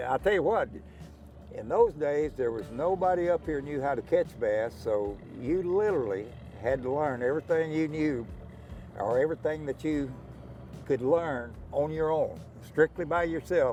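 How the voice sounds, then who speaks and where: A man with a Texan accent talks at a moderate pace and medium pitch. His tone is dark and mellow, with lively intonation. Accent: Texan Southern. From Texas Gulf Coast. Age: 80s+. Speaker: professional bass angler. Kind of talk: casual interview. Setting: outdoors at a lake.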